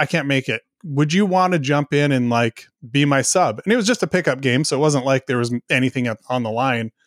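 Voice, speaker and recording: Dry and close with no echo, an unremarkable speaking voice moves at a fairly quick pace with ordinary pitch variation on a very clean recording with a silent background. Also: man. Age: 40s. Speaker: software company founder. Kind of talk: casual interview.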